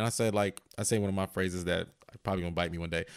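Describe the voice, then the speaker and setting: Recorded very cleanly against total silence, a man's speech races along very fast. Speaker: comedian. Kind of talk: casual chat. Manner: halting, filler-heavy.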